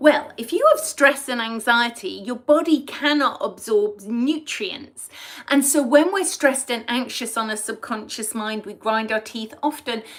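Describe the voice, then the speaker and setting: A woman's fairly high voice with an English accent, ordinary pitch variation and a moderate pace. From England. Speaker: past life regression therapist. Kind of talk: live stream talk to viewers.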